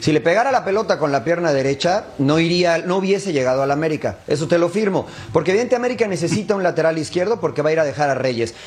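The speech races along very fast with hardly any pauses, lively intonation and very even loudness. Noticeable background noise sits behind it. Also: man, high pitch for a man. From Mexico. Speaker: football pundit. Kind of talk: casual chat.

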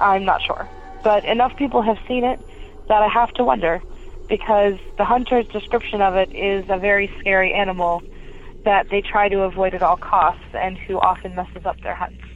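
Here a woman speaks with an American accent in an ordinary speaking voice. Her pitch is medium with ordinary variation, and her pace is moderate. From Pennsylvania. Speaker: caller. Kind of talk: recorded voicemail story.

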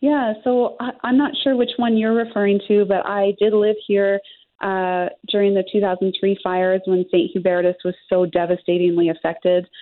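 With an ordinary speaking voice, a woman talks at a moderate pace and medium pitch with ordinary pitch variation. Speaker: winery owner. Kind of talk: interview.

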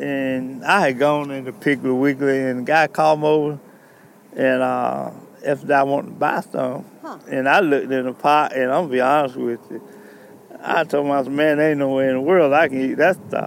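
Noticeable background noise sits behind a man with a Southern US accent. He speaks at a fairly quick pace with fairly even intonation. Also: fairly high pitch for a man. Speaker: veteran and cook-off contestant. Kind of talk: interview. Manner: stammering.

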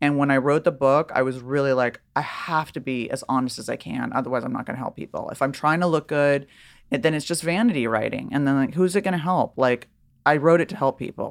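A woman speaks at a very fast pace with an American accent. Her very deep, low pitch has ordinary variation. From Los Angeles, California. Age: 50s. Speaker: author and journalist in recovery. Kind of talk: casual interview.

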